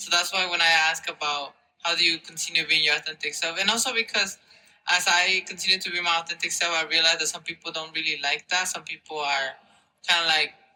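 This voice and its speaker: A man with a Spanish accent talks at a very fast pace in a high pitch, his intonation fairly even. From Mexico, then New Jersey from age eight. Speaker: university student. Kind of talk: interview. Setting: conference. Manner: hesitant, many fillers.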